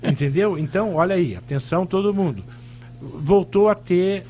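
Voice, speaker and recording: A man speaks with lively intonation at a moderate pace while music plays behind him. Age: 60s. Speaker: pulmonologist. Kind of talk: radio interview.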